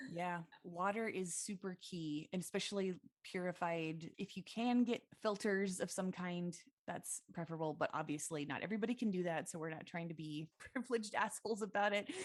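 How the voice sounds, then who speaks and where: This woman talks at a fairly quick pace. Her pitch is medium, with ordinary pitch variation. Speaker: podcast co-host. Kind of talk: casual chat. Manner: loud.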